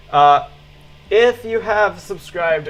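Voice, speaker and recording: A man talks with lively intonation against noticeable background noise. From Israel. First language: Hebrew. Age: 20s. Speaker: streamer. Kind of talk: casual chat.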